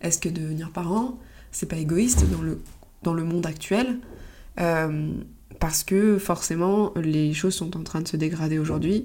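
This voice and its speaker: A woman's dark, mellow voice, fairly low in pitch, with ordinary pitch variation, a fairly slow pace and long, frequent pauses. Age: 30s. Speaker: podcast host, photographer and phototherapist. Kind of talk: solo monologue podcast. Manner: halting, with many fillers.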